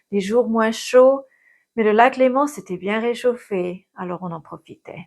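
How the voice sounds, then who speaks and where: A woman's lively voice at a fairly slow pace, on a very clean recording with a silent background. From Geneva area, French side of the border. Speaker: physicist and video creator. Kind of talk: personal vlog monologue.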